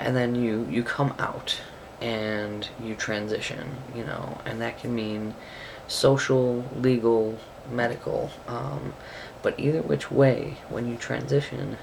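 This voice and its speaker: Through audible room echo and noticeable background noise, a soft-spoken man speaks at a very slow pace. His pitch is medium, with ordinary pitch variation. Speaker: video blogger. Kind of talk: vlog monologue. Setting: bedroom at home. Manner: quiet, soft-spoken.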